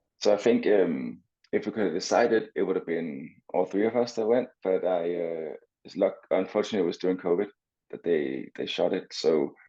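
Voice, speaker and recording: A man with a Danish accent talks at a fairly quick pace. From Denmark, Copenhagen. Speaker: swimmer and entrepreneur. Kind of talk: interview.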